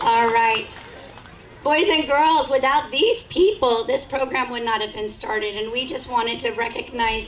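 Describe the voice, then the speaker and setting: Over noticeable background noise, a woman talks at a fairly slow pace in a fairly high pitch with ordinary pitch variation. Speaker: school principal. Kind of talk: ceremony speech. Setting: school event with audience. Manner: formal.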